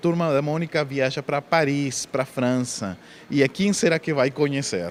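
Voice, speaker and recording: Speaking with a non-native accent, a man has a medium-pitched voice. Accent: foreign accent in Portuguese. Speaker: spiritist speaker and author. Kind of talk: interview; lecture. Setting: book fair in a shopping mall.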